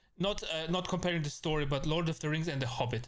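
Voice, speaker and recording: A man with an Austrian accent talks at a fairly high pitch. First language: German. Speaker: VTuber streamer. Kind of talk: casual live-stream chat. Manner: halting, many fillers and repetitions.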